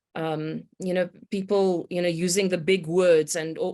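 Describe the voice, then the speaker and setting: A woman's dark, mellow voice at medium pitch with a South African accent, moderate pace, and a very clean recording with a silent background. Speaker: complexity consultant, meteorologist by training. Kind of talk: podcast interview. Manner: hesitant, many fillers.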